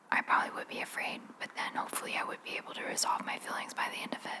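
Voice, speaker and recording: A woman whispers at a very fast pace over noticeable background noise. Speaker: ASMR youtuber. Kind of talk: ASMR whisper Q&A. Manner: whispering.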